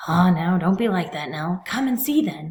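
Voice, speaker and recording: Using a put-on character voice, a woman speaks at medium pitch and a moderate pace. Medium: read story. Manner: soft, low.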